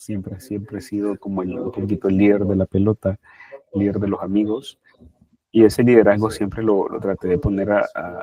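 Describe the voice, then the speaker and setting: Using a plain, everyday voice, a man talks at a moderate pace with a fairly low pitch. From Nicaragua. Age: 30s. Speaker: social worker. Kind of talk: interview testimony.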